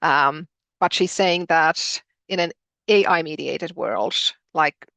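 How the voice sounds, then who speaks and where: A woman with a Finnish accent, bright and sharp in tone, fairly even intonation, in a dry, close recording with no echo. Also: quiet background. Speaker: educator, postgraduate director. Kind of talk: webinar presentation. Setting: video call webinar. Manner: hesitant, many fillers.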